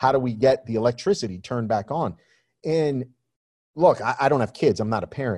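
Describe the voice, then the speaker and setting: With a New York accent, a man speaks at medium pitch and a fairly quick pace, using lively intonation. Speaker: photographer and magazine publisher. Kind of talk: interview conversation.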